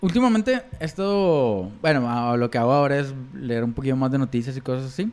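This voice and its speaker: With hardly any pauses, a man of medium pitch keeps a moderate pace and lively intonation. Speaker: podcast co-host. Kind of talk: casual chat.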